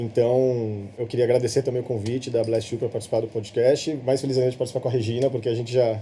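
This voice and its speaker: A man rattles on at a very fast pace with hardly any pauses, at a medium pitch and in a monotone, flat intonation. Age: 30s. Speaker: social entrepreneur. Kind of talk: podcast interview conversation. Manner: halting, frequent repetitions.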